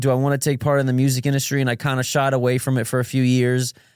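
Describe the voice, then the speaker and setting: The recording is very clean with a silent background. A man talks very fast at a medium pitch. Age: 20s. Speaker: musician. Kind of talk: casual chat.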